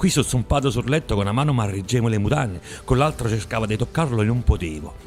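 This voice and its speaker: A man at a medium pitch, fairly quick and lively in intonation, with music in the background. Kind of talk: poetry reading.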